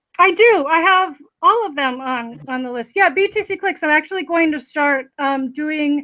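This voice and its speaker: This woman's voice is high-pitched, raised and projected. Her tone is bright and sharp, with lively intonation. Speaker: crypto online earnings streamer. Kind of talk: live stream chat. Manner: fast.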